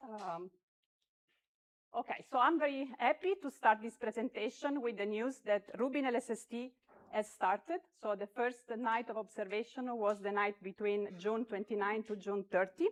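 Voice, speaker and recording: A woman at a fairly high pitch and moderate pace, ordinary pitch variation, with a dry, close sound and no echo. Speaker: astronomer. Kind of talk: conference talk. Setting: conference hall with audience. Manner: loud; hesitant, many fillers.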